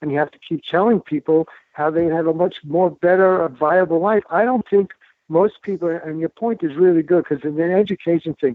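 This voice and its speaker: A man speaks in a New York accent. His pitch is high and his pace fairly quick. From New York City, the Bronx. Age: 70s. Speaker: doctor and author. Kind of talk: interview. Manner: fast; animated.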